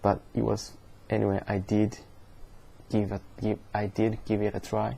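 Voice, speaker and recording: Fairly low-pitched, with a dark, mellow tone, a man speaks fairly slowly with a Japanese accent. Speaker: vlogger. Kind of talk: casual vlog monologue. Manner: slow, repetitive; halting.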